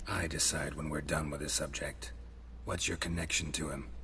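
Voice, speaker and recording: Someone uses a put-on character voice at a moderate pace, with clear background noise behind it. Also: man. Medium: video game. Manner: terse, dry.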